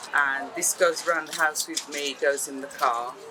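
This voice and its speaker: Music plays in the background as a woman speaks with an English accent. Her pace is moderate. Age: 60s. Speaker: documentary interviewee, patient. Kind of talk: documentary interview.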